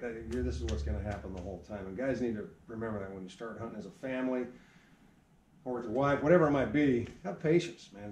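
The speaker goes at a fairly quick pace with very wide pitch swings and vocal fry, amid light background noise and audible room echo. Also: man. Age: 40s. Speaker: archery shop owner. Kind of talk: casual chat. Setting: archery shop. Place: shop. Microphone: camera far.

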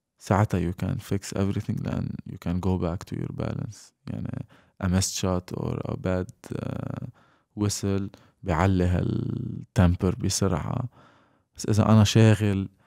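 A man talks fairly slowly in a dark, mellow tone at a fairly low pitch with ordinary pitch variation. The sound is dry with no echo, over a quiet background. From Lebanon. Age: 20s. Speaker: professional basketball player; podcast guest. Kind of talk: casual chat. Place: home room. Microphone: studio mic.

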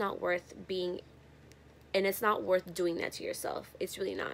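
Light background noise runs behind a woman as she talks. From San Francisco, US West Coast. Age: 20s. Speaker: YouTuber. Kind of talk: casual vlog Q&A. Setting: friend's house. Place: home room. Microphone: phone near.

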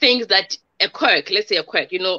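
The woman's tone is bright and sharp. The background is quiet. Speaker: relationship expert and motivational speaker; show host, guest. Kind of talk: interview. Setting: video call. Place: home room. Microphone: video call.

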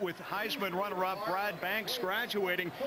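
A raised, projected voice comes through over noticeable background noise. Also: man. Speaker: play-by-play sports commentator. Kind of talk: live sports commentary. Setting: stadium broadcast booth.

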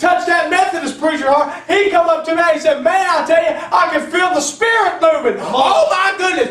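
An extremely high-pitched male voice, animated and very fast, with audible room echo. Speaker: pastor; preacher. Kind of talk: fiery Pentecostal sermon with call-and-response exhortation. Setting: church. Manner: animated, punctuating nearly every sentence with amen and praise God; rousing, urging the congregation to stand and march forward. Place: church. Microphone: camera far.

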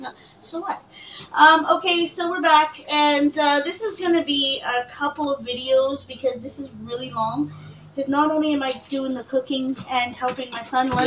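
The speech moves at a moderate pace with ordinary pitch variation. Noticeable background noise runs beneath it. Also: woman, high pitch for a woman. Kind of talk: casual cooking vlog chat. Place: kitchen. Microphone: webcam.

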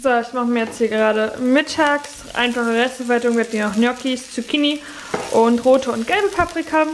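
There is light background noise as a woman speaks at a fairly quick pace with a fairly high pitch. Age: 20s. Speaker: vlogger. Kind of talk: casual vlog talk to camera. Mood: calm, encouraging.

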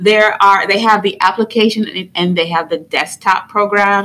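A woman talks at a moderate pace in a bright, sharp tone. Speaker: video creator, educator. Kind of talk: tutorial. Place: home room. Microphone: studio mic.

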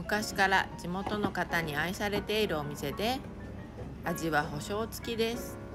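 Set against music in the background, a woman speaks in a relaxed tone at a medium pitch, with ordinary pitch variation and a fairly slow pace. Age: 50s. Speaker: vlogger. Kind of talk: travel vlog narration. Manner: relaxed, casual.

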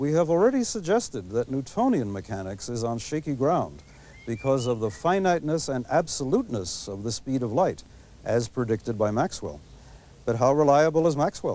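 A man at a moderate pace, with very wide pitch swings and a dry sound free of echo. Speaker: TV presenter. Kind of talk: lecture. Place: garden. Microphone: lapel.

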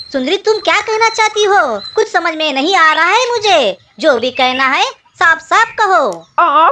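An extremely high-pitched, cartoonish character voice speaks. The pace is moderate. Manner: pleading, distressed.

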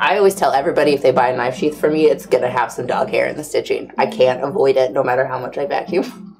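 Over light background noise, a woman with a very deep, low pitch talks in an animated tone at a very fast pace, hardly pausing at all. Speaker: livestream host for leather supply company. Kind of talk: casual chat. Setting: studio livestream. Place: workshop.

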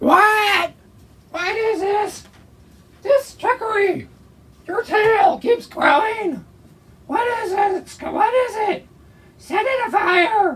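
Shouting in a cartoonish character voice at an extremely high pitch, a man goes at a very slow pace with long, frequent pauses. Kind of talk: comic overacting. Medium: puppet show. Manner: angry, shouting, impatient.

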